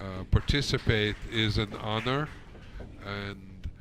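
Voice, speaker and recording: Amid audible room echo, a man speaks at a fairly low pitch with fairly even intonation. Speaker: pool commentator. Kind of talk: live commentary. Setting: pool hall broadcast. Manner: speaking low.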